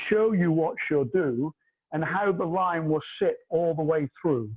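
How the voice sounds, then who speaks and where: The pace is fairly slow. Intonation stays lively throughout. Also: man. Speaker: hairdresser and educator. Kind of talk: tutorial. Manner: loud; animated.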